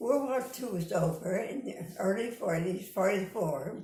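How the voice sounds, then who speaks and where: A woman with an American accent, audible room echo and noticeable background noise. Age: 80s+. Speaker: interviewee recalling her life. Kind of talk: oral history interview.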